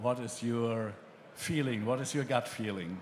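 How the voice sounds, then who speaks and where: A man with a German accent speaks with fairly even intonation. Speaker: magazine editor, panel moderator. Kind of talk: panel discussion moderation. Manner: hesitant, many fillers.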